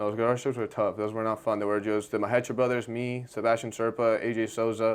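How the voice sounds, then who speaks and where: A man rushes through at a very fast pace with hardly any pauses, his medium pitch held in monotone, flat intonation. The recording is very clean, with a silent background. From Argentina. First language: Spanish. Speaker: jiu-jitsu competitor. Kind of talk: casual interview chat.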